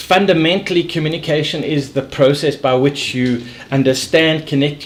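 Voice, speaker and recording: A man's fairly high voice for a man at a moderate pace, with noticeable background noise. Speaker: sales and leadership coach. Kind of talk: casual interview chat. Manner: animated; occasional stammer.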